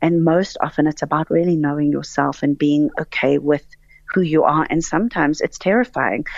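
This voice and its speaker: At a fairly quick pace, a woman speaks in a very deep, low voice with ordinary pitch variation. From South Africa. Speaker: actress and director. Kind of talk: radio interview. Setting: phone call.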